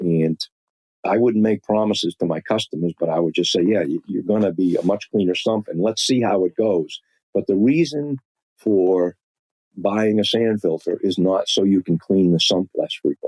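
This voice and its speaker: In a Boston accent, a man speaks at a moderate pace with a fairly low pitch, very even loudness, and a dry, close sound with no echo. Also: ordinary pitch variation. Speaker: industrial filtration expert. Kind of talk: podcast interview. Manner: halting, frequent repetitions and fillers.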